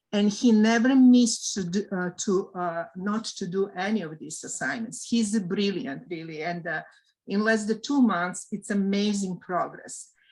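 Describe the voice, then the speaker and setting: On a very clean recording with a silent background, a woman with a non-native accent speaks at a medium pitch and moderate pace, somewhat breathy, with ordinary pitch variation and big swings in loudness. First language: not English. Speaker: volunteer ESL tutor. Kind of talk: casual group meeting share. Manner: halting, many fillers.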